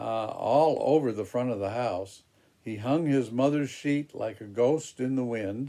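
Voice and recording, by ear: In a natural voice with ordinary pitch variation, the text is read aloud.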